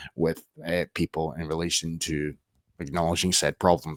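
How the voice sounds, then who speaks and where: Creaky vocal fry runs through this voice. The recording is dry and close-miked, without any echo. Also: man. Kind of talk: political commentary reacting to clips. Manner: sweary, sarcastic.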